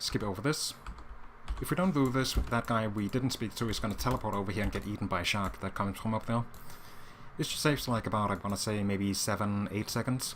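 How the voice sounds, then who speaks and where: At a very fast pace, a man speaks at a fairly low pitch with ordinary pitch variation. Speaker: speedrun tutorial gamer. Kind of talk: gameplay tutorial commentary. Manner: casual, hesitant with fillers.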